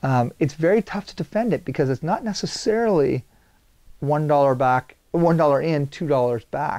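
A man speaks at a moderate pace in a fairly high pitch with a dark, mellow tone. His intonation is lively, and the background is quiet. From Saint John, New Brunswick, Canada; New Brunswick, Canada. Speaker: video producer; guest. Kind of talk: interview conversation. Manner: high energy. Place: studio. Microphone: lapel.

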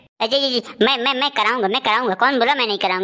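In a cartoonish character voice, a woman talks at a fairly quick pace. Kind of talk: comic overacting. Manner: exasperated, preachy, then fawning and panicked.

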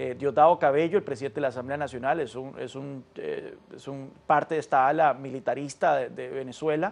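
A man speaks at a fairly high pitch and a fairly quick pace. His intonation stays fairly even, with hardly any pauses. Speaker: political analyst. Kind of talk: news interview. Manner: halting. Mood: calm, analytical. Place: studio. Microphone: lapel.

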